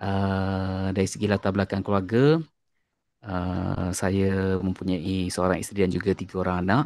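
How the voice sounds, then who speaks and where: On a very clean recording with a silent background, a man with a fairly low pitch sounds dry and close with no echo. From Malaysia, Terengganu (Besut) and Kelantan. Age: 40s. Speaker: primary school science teacher. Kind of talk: podcast interview. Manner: hesitant, many fillers.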